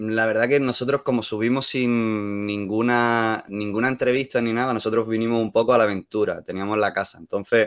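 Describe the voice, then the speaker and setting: Against a quiet background, a man at a medium pitch talks at a fairly quick pace with hardly any pauses. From Andalusia, Málaga. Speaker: hospitality worker. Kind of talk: casual chat.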